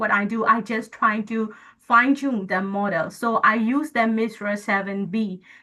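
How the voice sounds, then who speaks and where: With a Burmese accent, a woman speaks fairly slowly in a bright, sharp tone, her fairly high pitch showing ordinary variation. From Myanmar. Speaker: guest lecturer, AI engineer. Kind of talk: lecture. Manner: halting.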